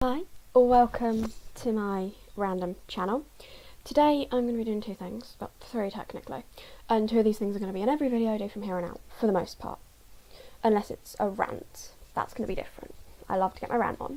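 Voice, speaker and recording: A woman speaks quietly at a fairly quick pace, with long, frequent pauses. Her fairly high voice has a dark, mellow tone and ordinary pitch variation. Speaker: YouTuber reading a novel aloud. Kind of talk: casual vlog chat. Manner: quiet, low volume.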